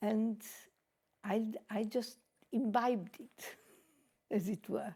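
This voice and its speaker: A woman talks in a fairly high, somewhat breathy voice with a dark, mellow tone. She leaves long, frequent pauses. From Italy, Trieste. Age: 80s+. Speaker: retired opera singer. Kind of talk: interview. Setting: music college.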